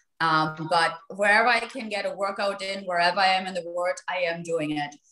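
In a German accent, a woman speaks in a room with audible echo. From Germany. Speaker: real estate agent; guest. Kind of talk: panel discussion. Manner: halting. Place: home room. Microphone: video call.

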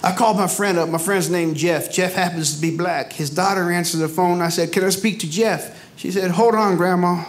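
Over background music, a man talks at a high pitch with monotone, flat intonation. His pace is fairly quick, with hardly any pauses. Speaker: stand-up comedian. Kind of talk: stand-up comedy routine. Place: stage. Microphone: handheld.

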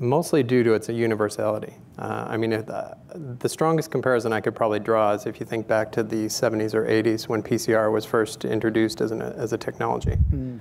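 A man's medium-pitched voice at a fairly quick pace, with hardly any pauses, ordinary pitch variation and light background noise. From Canada, Calgary, Alberta. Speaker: public health scientist; guest. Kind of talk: technical interview. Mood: calm, thoughtful. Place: stage. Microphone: lapel.

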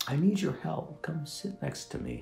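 With faint music behind him and audible room echo, a man does a put-on character voice at a moderate pace, fairly high in pitch with very wide swings, a dark, mellow tone and vocal fry.

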